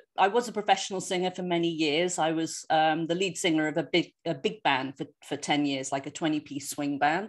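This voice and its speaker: In a very clean recording with a silent background, a woman speaks with a London accent. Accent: British (London). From London, England. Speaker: osteopath and former professional singer. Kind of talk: lecture.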